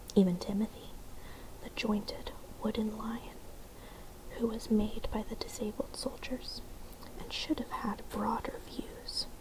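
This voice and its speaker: Whispering in a gentle tone at a fairly slow pace, the speaker leaves long, frequent pauses over noticeable background noise. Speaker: ASMR content creator reading a bedtime story. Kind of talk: soft-spoken bedtime story reading. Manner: soft-spoken, gentle.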